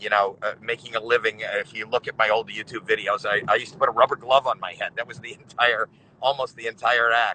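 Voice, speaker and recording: A man speaks very fast at a medium pitch in a bright, sharp tone, with monotone, flat intonation, big swings in loudness, and a dry, close sound with no echo. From Canada, Toronto. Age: 60s. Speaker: comedian. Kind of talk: casual chat.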